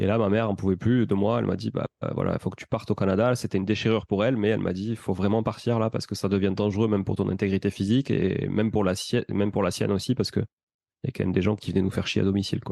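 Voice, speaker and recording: A man's very fast, monotone, flat delivery with a dark, mellow tone and a slight Toulouse accent, against a quiet background. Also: fairly low pitch for a man. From Toulouse, southern France. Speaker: real estate investor and entrepreneur. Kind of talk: podcast interview.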